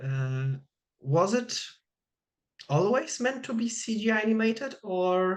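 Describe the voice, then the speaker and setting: With a Polish accent, the speech goes at a fairly slow pace with long, frequent pauses and very wide pitch swings. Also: woman, fairly high pitch for a woman. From Poland. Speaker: interviewer. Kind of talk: interview. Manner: halting.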